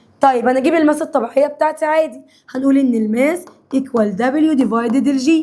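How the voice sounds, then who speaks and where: At a moderate pace and with ordinary pitch variation, a woman speaks in a high pitch over noticeable background noise. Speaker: science teacher. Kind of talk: lecture. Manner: animated.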